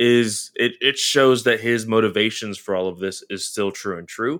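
A man talks at a moderate pace with an American accent and ordinary pitch variation. The recording is very clean, with a silent background. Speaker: comic book podcast co-host. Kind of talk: casual chat.

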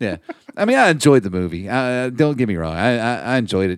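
A man's fairly quick, lively-intoned speech on a very clean recording with a silent background. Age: 30s. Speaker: podcast co-host. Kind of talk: casual chat. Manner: halting, many fillers and repeats.

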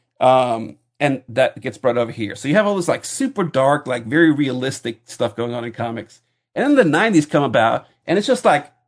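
An unremarkable speaking voice with lively intonation moves at a moderate pace over a quiet background. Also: man. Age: 40s. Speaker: podcaster, comics fan. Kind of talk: casual banter podcast. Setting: video call. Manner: joking, bantering.

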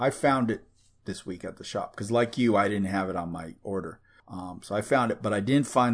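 A man talks fairly quickly with a plain, everyday voice and a fairly low pitch. His pitch variation is ordinary, and the background is quiet. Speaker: podcast host. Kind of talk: casual banter chat.

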